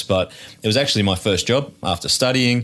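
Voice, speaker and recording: A man with an Australian accent speaks at a fairly quick pace with ordinary pitch variation. The recording is very clean, with a silent background. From Australia, north of Sydney. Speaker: theme park executive. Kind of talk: podcast interview. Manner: halting, many repetitions.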